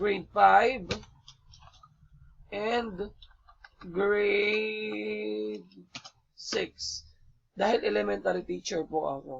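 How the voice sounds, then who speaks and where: This man talks at a very slow pace, leaving long, frequent pauses. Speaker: elementary school teacher. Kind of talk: tutorial.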